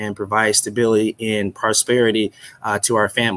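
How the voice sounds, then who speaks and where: At a fairly quick pace, a man talks with fairly even intonation. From Chicago. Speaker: loan officer, board member. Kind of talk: personal testimony. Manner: hesitant, many fillers. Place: office. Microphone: webcam.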